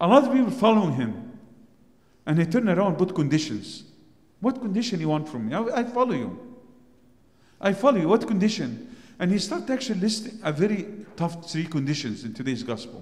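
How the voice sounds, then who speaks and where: Amid audible room echo, a man with an Arabic accent speaks in a high voice at a fairly quick pace, his pitch swinging very widely, with long, frequent pauses. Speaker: priest. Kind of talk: sermon.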